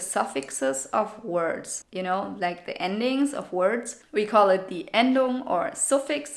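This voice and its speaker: A woman in a German accent, fairly high-pitched and fairly slow, with lively intonation. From Germany. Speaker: language teacher / video creator. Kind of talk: tutorial. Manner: casual.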